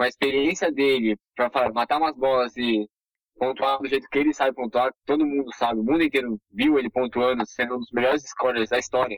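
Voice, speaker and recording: A man speaks with a São Paulo accent. His pitch is medium. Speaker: sports social media creator. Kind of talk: casual chat.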